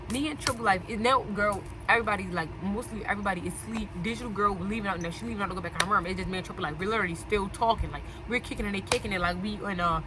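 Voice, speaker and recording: A woman talks at a very fast pace in an animated tone, her pitch medium with ordinary variation. Noticeable background noise and audible room echo fill the recording. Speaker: storytelling vlogger. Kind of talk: casual storytime.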